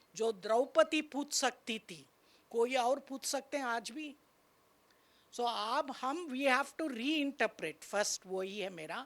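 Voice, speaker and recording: High female voice in a Tamil accent, with lively intonation and big swings in loudness, on a very clean recording with a silent background. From Tamil Nadu, India. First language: Tamil (speaking Hindi). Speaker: university vice chancellor. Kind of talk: panel discussion talk.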